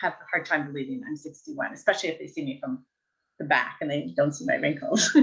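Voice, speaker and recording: At a fairly quick pace, a woman in an ordinary speaking voice talks with a fairly low pitch, lively intonation and big swings in loudness. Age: 60s. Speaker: life coach. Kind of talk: casual chat. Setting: live video stream.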